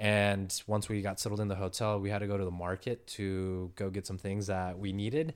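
On a very clean recording with a silent background, a man with an American accent and a plain, everyday voice talks at a fairly quick pace with hardly any pauses, a fairly low pitch and fairly even intonation. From San Diego, California. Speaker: world traveler and entrepreneur. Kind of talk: casual interview.

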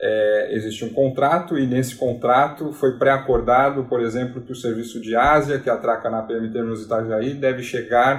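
An unremarkable speaking voice from a man, medium in pitch, at a moderate pace with fairly even intonation and hardly any pauses. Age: 30s. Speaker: port terminal sales manager. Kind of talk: interview.

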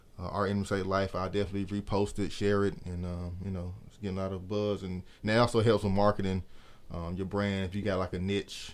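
A man with an American accent speaks fairly quickly in a flat monotone, his pitch fairly low. The recording is very clean, with a silent background. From US South, East Point, Atlanta, Georgia. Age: 30s. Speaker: clothing designer. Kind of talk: casual chat.

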